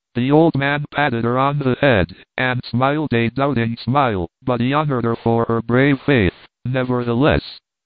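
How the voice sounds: A man speaks at a medium pitch and a fairly slow pace, with fairly even intonation, few pauses, and a dry, close sound with no echo.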